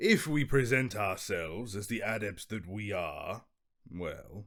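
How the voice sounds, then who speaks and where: A man's put-on character voice at medium pitch, fairly slow, in a very clean recording with a silent background. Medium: read story. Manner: breezy, self-assured.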